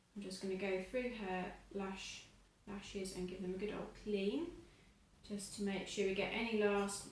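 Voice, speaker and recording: A woman speaks at a fairly slow pace and medium pitch in a monotone, flat delivery. There is audible room echo and noticeable background noise. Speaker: eyelash technician. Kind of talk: tutorial. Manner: muffled. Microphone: wearing a face mask, muffled.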